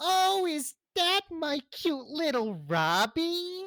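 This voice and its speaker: At a very slow pace, the speaker puts on a character voice with extremely high pitch. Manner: playful, crazy, menacing.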